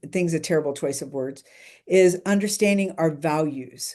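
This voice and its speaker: A woman's dark, mellow tone with lively intonation. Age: 60s. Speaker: professional keynote speaker. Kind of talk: casual interview chat. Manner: animated.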